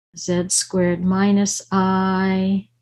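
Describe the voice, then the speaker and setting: A woman's monotone, flat intonation at a very slow pace. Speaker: mathematics professor. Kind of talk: lecture.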